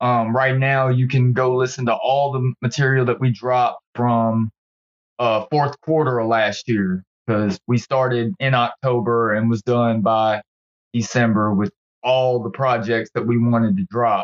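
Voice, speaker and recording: Speaking in a plain, everyday voice, a man holds a medium pitch, fairly even intonation and very even loudness at a fairly slow pace. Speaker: rapper. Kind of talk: casual chat. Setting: phone call.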